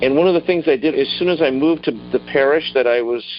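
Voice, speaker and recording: Music underneath very fast talking, the pitch moving in an ordinary way. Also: man. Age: 60s. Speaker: political candidate. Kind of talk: interview. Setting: phone call. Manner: halting.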